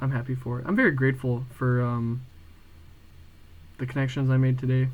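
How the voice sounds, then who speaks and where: A man's somewhat breathy voice at medium pitch and moderate pace, monotone and flat in intonation, with audible room echo. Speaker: video diarist. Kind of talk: casual vlog monologue. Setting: home room at night.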